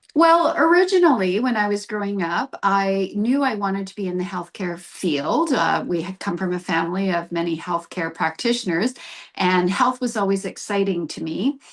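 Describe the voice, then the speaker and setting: A woman with a plain, everyday voice speaks at a moderate pace and medium pitch, with lively intonation and hardly any pauses. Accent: Canadian. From Canadian prairies (Brandon, Manitoba). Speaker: naturopathic doctor. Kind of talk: interview.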